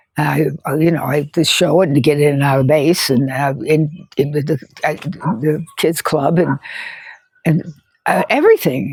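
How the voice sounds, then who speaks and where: Speaking at a fairly slow pace with an American accent, a woman uses a very deep, low pitch with ordinary variation. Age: 70s. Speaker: environmental activist. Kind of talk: casual talk to camera. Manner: hesitant, emotional.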